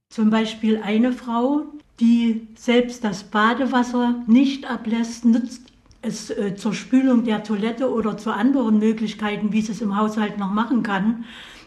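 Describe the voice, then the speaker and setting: Speaking at a fairly slow pace, a woman with a fairly high pitch keeps a monotone, flat intonation while audible room echo surrounds her voice. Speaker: association chairwoman. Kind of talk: interview.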